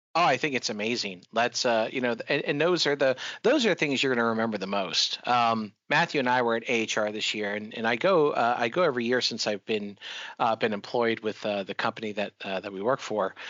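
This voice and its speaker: At a fairly quick pace, a man with an American accent and an ordinary speaking voice talks at medium pitch with ordinary pitch variation. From Florida. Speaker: podcast host. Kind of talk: interview conversation.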